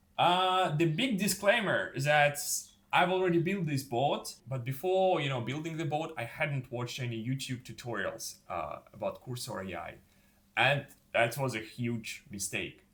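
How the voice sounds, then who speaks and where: The speaker uses lively intonation at a moderate pace, with a non-native accent. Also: man. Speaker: YouTuber, former fashion model. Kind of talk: casual vlog tutorial. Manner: casual, with fillers.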